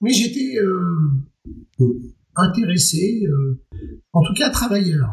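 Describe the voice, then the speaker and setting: Speaking at a very slow pace, a man with a high pitch moves through very wide pitch swings. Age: 50s. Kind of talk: interview.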